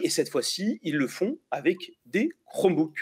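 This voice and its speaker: This is a man speaking. His intonation is lively. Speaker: tech YouTuber and interviewer. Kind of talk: interview. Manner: fast.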